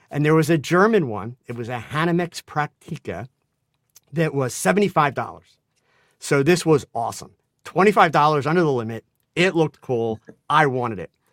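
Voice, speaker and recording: A man's normal speaking voice, fairly high-pitched, with lively intonation at a moderate pace on a very clean recording with a silent background. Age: 60s. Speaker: photographer and photo educator. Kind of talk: casual chat.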